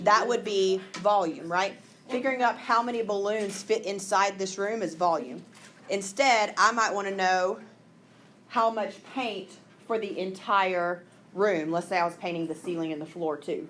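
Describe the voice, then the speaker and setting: A woman with a Southern US accent and ordinary pitch variation, amid audible room echo. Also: medium pitch for a woman, moderate pace. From Mississippi. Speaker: math teacher. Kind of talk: classroom lesson. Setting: classroom with students.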